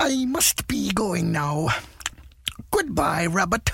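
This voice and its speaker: A put-on character voice at a middle pitch and a very slow pace. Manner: polite, apologetic.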